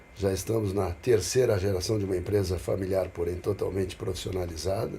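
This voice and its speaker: A man's very deep, low voice, somewhat breathy with a dark, mellow tone, fairly even intonation and a fairly quick pace. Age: 60s. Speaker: businessman and investor. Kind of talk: casual podcast conversation.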